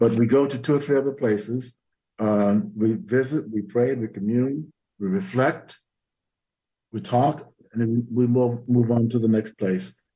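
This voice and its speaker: At a fairly slow pace, a man speaks in a medium pitch with a dark, mellow tone. His pitch varies an ordinary amount. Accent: American. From US South. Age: 80s+. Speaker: history professor emeritus and author. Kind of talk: interview.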